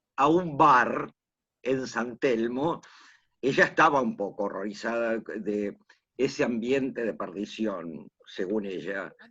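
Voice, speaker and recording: Medium pitch from a man with a bright, sharp tone, lively intonation and a very slow pace. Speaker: oral storyteller, teacher. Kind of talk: interview answer, anecdotal.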